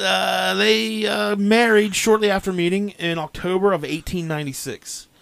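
A man's high voice in an American accent, with very wide pitch swings, a fairly slow pace and hardly any pauses, over noticeable background noise. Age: 30s. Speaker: podcast host. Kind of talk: storytelling narration from research notes.

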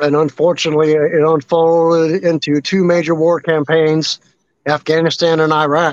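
In a dry, close sound with no echo, a man with a fairly high pitch speaks at a moderate pace with monotone, flat intonation and very even loudness. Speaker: army veteran and veterans advocate. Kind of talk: interview.

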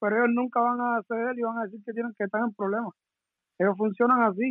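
A man talks at a very fast pace with an extremely high pitch. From Cuba. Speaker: professional boxer. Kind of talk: live interview.

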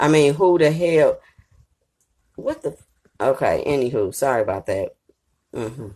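A woman with a very deep, low pitch and a dark, mellow tone speaks at a moderate pace with lively intonation, vocal fry and long, frequent pauses. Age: 30s. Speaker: podcast host, entertainment commentator. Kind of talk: casual monologue commentary.

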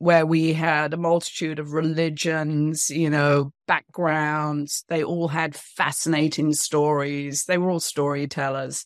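A woman's very deep, low voice in a British accent, fairly slow and fairly even in intonation, over a quiet background. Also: dry, close sound with no echo. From England. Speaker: author and women's empowerment speaker. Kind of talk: interview.

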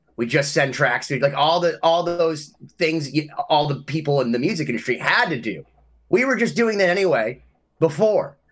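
A man's fairly high-pitched, ordinary speaking voice with lively intonation at a moderate pace. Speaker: instrumental rock musician and podcast co-host. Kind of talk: casual interview chat.

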